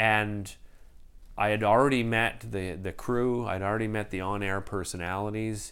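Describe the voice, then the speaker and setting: A man with a Canadian accent, fairly low in pitch, fairly even in intonation, at a moderate pace, with audible room echo. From Ottawa, Canada. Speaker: TV host. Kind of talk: interview.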